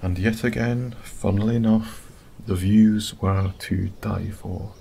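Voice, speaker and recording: Soft-spoken and somewhat breathy, a man with a Scottish accent talks very slowly in a dark, mellow tone, his fairly low pitch held in monotone, flat intonation. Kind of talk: sleep story. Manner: soft-spoken, slow.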